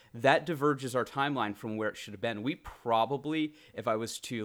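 In a very clean recording with a silent background, a man talks at a medium pitch with ordinary pitch variation. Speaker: gaming YouTuber. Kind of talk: casual chat. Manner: animated.

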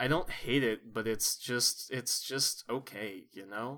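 The man's tone is bright and sharp. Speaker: podcast host. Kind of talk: casual comedic chat. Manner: animated; joking.

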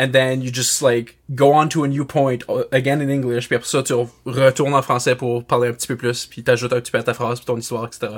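Speaking very fast with hardly any pauses, a man with a medium-pitched voice and an Acadian accent keeps a flat, monotone intonation while his loudness swings widely. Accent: Acadian Canadian English. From Canada, northeast New Brunswick. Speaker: podcast guest. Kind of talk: casual chat.

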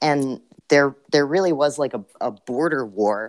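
Fairly slow, with an unremarkable speaking voice and ordinary pitch variation, a man is heard on a very clean recording with a silent background and a dry, close sound with no echo. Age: 20s. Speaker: video essayist. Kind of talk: casual chat.

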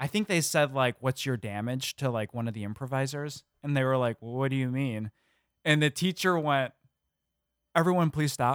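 A plain, everyday voice: a man at medium pitch, ordinary pitch variation, dry, close sound with no echo. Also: moderate pace. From Illinois. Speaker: comedy podcast producer. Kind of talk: casual chat.

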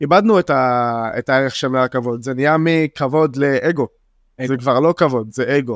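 A man with an Arabic accent speaks at a medium pitch and a moderate pace, with ordinary pitch variation. The sound is dry and close with no echo, over a quiet background. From Israel, Jaffa. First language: Arabic (speaking Hebrew). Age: 20s. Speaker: young spoken word poet. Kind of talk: casual interview.

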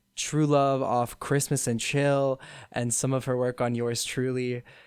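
A man speaks in a plain, everyday voice at a medium pitch with fairly even intonation, on a very clean recording with a silent background. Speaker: student guest. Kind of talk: casual chat about pop music.

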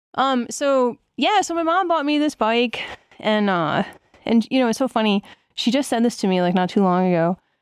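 A woman with an American accent, fairly high pitch and very wide pitch swings, a moderate pace, very even loudness, and a dry, close sound with no echo over a quiet background. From eastern Pennsylvania, US. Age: 40s. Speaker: cycling coach and former pro BMX racer. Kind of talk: casual interview.

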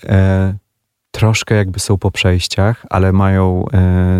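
A man speaks in a flat monotone at a very deep, low pitch. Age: 40s. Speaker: musician. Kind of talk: radio interview. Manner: halting.

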